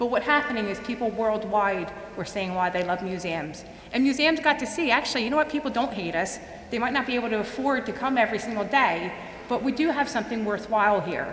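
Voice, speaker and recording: With an American accent, a woman talks at a very fast pace and a fairly high pitch with lively intonation, amid noticeable background noise and audible room echo. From US, Philadelphia. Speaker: conference speaker, museum social media consultant. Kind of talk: conference talk.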